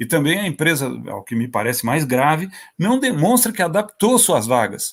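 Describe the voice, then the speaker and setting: A man speaks at a moderate pace in a fairly high pitch. His pitch swings very widely. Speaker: judge. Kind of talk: panel talk at online seminar. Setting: online event. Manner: halting, with false starts.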